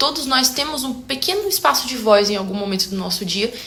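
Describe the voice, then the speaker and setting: A woman with a high pitch talks at a moderate pace over noticeable background noise. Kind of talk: casual talk to camera. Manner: talkative, expressive.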